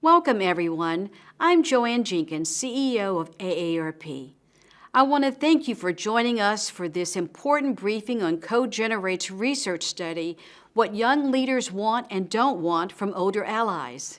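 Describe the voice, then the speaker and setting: A woman speaks at a moderate pace with a medium pitch and very wide pitch swings. The recording is very clean, with a silent background. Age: 60s. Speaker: nonprofit CEO. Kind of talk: prepared welcome speech.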